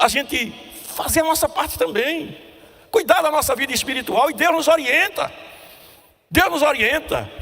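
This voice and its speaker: Above noticeable background noise, a man projects a raised voice at an extremely high pitch. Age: 70s. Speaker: preacher. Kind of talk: sermon.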